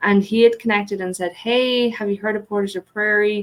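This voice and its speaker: A woman speaks in an Irish accent. Her intonation stays fairly even. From Ireland. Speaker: economic development director. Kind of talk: podcast interview. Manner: hesitant fillers.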